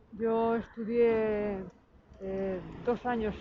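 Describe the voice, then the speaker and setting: Her pitch is fairly high for a woman. She speaks in a monotone, flat intonation. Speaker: retired factory worker. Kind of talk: testimony.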